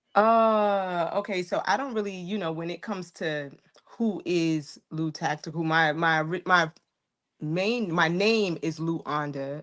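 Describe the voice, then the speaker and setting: This voice has a New York accent, a moderate pace and ordinary pitch variation. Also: woman. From New York, Harlem. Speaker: firearms content creator. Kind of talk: casual chat.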